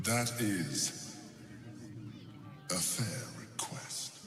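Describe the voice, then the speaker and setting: A man puts on a character voice at a medium pitch, with slight echo and clear background noise behind him. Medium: game stream. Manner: measured, commanding.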